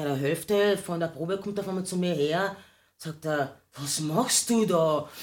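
A woman with a plain, everyday voice talks at a fairly slow pace, her fairly low pitch showing ordinary pitch variation. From Austria, Carinthia. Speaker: singer. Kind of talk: casual chat.

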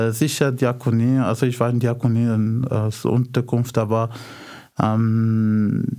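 A man's dark, mellow voice at a medium pitch, very slow and monotone with flat intonation. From Morocco, Casablanca. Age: 30s. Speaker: blind refugee. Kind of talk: radio interview. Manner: halting, many fillers.

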